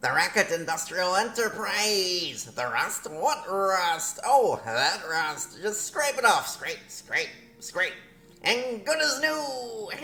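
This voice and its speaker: A man's high-pitched, put-on character voice at a very slow pace, with light background noise. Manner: salesman-like, shifty.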